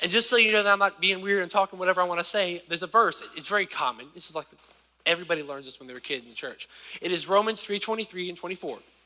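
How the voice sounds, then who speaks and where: Projecting a raised voice in an American accent, a man talks very fast at a high pitch with ordinary pitch variation and big swings in loudness. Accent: country accent largely grown out of. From US South, rural southern Virginia. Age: 20s. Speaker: preacher. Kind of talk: sermon. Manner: casual, conversational.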